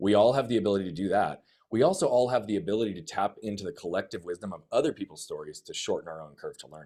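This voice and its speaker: Energetic and very fast, a man talks with hardly any pauses. His loudness swings widely. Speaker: life coach. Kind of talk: personal testimony in podcast interview.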